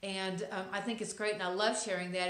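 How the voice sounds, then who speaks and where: In a Texas accent, a woman speaks at medium pitch and a fairly quick pace. Her intonation is flat and monotone, and room echo is audible. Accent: Texas accent, noticeable. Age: middle-aged. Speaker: lifestyle vlogger. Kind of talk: inspirational monologue to camera. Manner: hesitant, many fillers.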